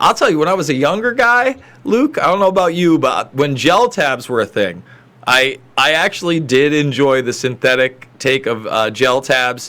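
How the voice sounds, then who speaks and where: A man's bright, sharp voice at a fairly high pitch, with very wide pitch swings and very even loudness. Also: moderate pace. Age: 30s. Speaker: news commentary co-host. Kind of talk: live news commentary chat.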